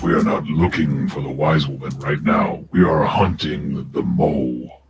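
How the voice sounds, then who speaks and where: Growling from a man in a put-on character voice, very deep and low in pitch, at a moderate pace. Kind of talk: orc voice. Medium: actual play. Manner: broken grammar, blunt.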